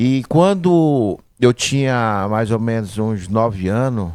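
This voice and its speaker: A man with a fairly low voice speaks with lively intonation on a very clean recording with a silent background. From Manacapuru, Amazonas, Brazil. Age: 40s. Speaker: business owner, butcher shop. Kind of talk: interview, life story.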